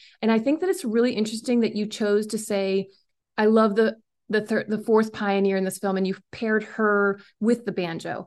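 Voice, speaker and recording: Over a quiet background, a woman with an American accent and a plain, everyday voice speaks at a fairly high pitch with fairly even intonation and a moderate pace. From rural West Virginia, Randolph County. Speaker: documentary filmmaker. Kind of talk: casual interview.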